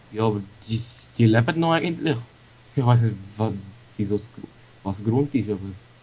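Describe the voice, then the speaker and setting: At a fairly quick pace yet with long, frequent pauses, the speaker has a dark, mellow tone, a somewhat breathy quality, and ordinary pitch variation. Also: man, medium pitch for a man. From Switzerland. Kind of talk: casual gaming commentary.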